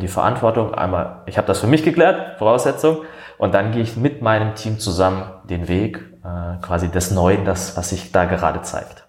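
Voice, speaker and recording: At a moderate pace, a man with a very deep, low pitch speaks somewhat breathily amid audible room echo. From Baden, southern Germany. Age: 30s. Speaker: coach. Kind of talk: interview conversation. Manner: hesitant, many fillers.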